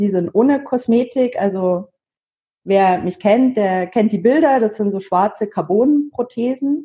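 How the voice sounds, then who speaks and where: Her voice is fairly high-pitched and somewhat breathy with a dark, mellow tone, moving at a moderate pace with ordinary pitch variation. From Munich, Bavaria. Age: 30s. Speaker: double amputee sharing her story. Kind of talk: interview.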